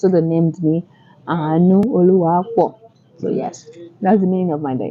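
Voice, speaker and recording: A woman with a Yoruba accent speaks at a fairly low pitch and a moderate pace. She leaves long, frequent pauses. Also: ordinary pitch variation. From southern Nigeria. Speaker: vlogger, public health worker. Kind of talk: casual chat.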